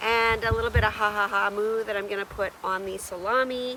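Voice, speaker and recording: Over noticeable background noise, a woman with a Canadian accent speaks at a medium pitch and moderate pace in a monotone, with flat intonation. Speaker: outdoor vlogger. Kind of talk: solo vlog narration. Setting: outdoors at campsite.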